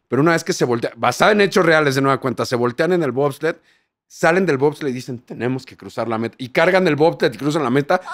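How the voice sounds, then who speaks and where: A man speaks at a fairly high pitch with ordinary pitch variation. His pace is very fast, and the background is quiet. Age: 40s. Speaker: TV presenter. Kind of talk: casual chat. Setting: hotel. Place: studio. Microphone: studio mic.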